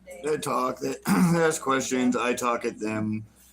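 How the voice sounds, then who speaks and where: Background noise is noticeable in this clip. Over it, a man talks with ordinary pitch variation. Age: 30s. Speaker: livestreamer, traveler. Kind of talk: casual livestream chat, reading chat. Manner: casual, halting.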